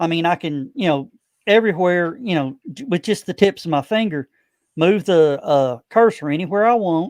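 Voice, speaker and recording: The man's voice is high, with lively intonation at a moderate pace. The sound is dry and close with no echo, over a quiet background. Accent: slight Southern US. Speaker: broadcaster and convention organizer. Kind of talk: casual interview chat.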